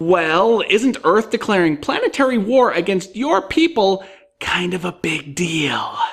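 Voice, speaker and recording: At a fairly slow pace, someone performs a put-on character voice pitched in the middle range. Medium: comedy sketch. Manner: theatrical mock-menace.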